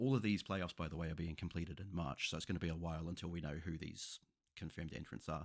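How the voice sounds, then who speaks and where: Very fast and fairly even in intonation, a man talks with a New Zealand accent at a very deep, low pitch. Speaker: football YouTuber. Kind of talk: tutorial. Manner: casual.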